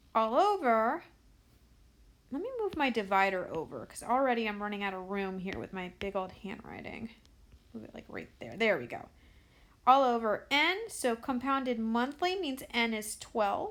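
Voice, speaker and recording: A woman speaks in a normal speaking voice at a fairly high pitch and a moderate pace. Her loudness swings a lot. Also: lively intonation. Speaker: math teacher. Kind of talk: tutorial.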